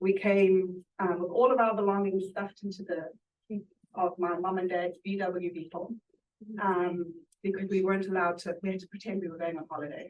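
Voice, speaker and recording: A woman speaks in a flat, monotone way while her loudness swings widely. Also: medium pitch for a woman, fairly quick pace. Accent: southern African. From Zimbabwe and South Africa. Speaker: food bank director. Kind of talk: panel interview. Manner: hesitant, many fillers.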